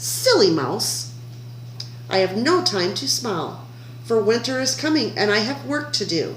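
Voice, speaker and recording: Over clear background noise, someone does a put-on character voice at a moderate pace. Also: woman, very deep, low pitch for a woman. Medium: read story. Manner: curt, grumbling.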